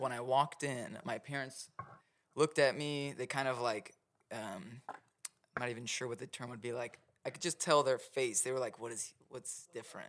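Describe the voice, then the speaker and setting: With an American accent, a man speaks in an ordinary speaking voice at a medium pitch and a moderate pace. His loudness swings widely, while his pitch varies in an ordinary way. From Oklahoma City. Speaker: mushroom grow supplier and educator. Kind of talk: casual interview chat.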